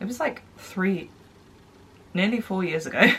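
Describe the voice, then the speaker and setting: Speaking at a medium pitch, a woman talks with a British accent. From United Kingdom. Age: 20s. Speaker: blogger. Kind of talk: casual talk to camera.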